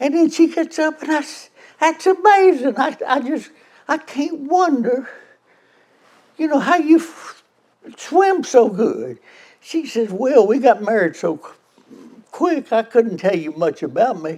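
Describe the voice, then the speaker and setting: A man with a Memphis accent and extremely high pitch, very wide pitch swings, fairly slow pace and long, frequent pauses. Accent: Southern US (Memphis). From US South, Memphis, Tennessee. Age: 90s. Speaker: car club member telling a story. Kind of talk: storytelling, joke. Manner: halting, repeats words.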